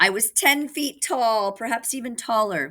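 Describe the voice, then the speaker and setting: A female-sounding voice puts on a character at a fairly high pitch and a moderate pace. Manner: boastful.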